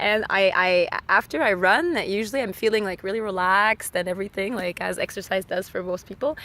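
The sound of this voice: At a fairly quick pace, the speaker uses a fairly bright tone with a Quebec accent and ordinary pitch variation. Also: woman. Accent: Québécois.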